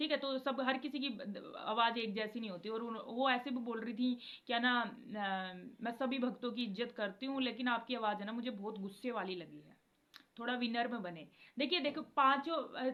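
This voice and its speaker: The voice belongs to a woman and is high in pitch. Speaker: devotional video creator. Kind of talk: casual devotional talk to viewers.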